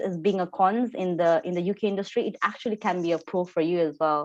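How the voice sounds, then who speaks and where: A woman with a Nepali accent talks at a fairly quick pace and medium pitch, with ordinary pitch variation and a quiet background. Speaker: engineer. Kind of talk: panel discussion. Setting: video call. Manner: halting.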